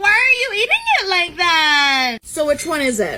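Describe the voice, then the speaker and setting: In a put-on character voice, the speaker goes extremely high in pitch with very wide pitch swings. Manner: condescending, mocking.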